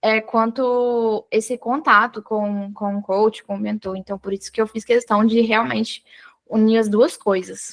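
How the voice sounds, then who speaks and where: A woman's fairly high voice at a fairly slow pace, with fairly even intonation and a dry, close sound with no echo. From Brazil, Espírito Santo. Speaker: study mentor for public exams. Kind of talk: live online mentoring session. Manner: halting, many restarts.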